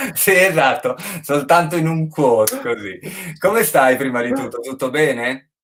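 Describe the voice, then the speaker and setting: A man speaks at a moderate pace with a Friulian accent. His voice is fairly high and his intonation lively. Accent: Friulian Italian. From Friuli, northeast Italy. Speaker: online show host. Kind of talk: casual interview chat. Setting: livestream on Instagram and Facebook.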